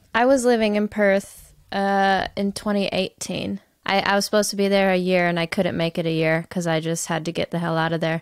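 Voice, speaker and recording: A woman with an American accent talks in an animated, bubbly tone at a fairly quick pace, with hardly any pauses. The sound is dry with no echo, and the background is quiet. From United States. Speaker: podcast host. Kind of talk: casual interview chat. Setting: video call. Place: home room. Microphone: studio mic.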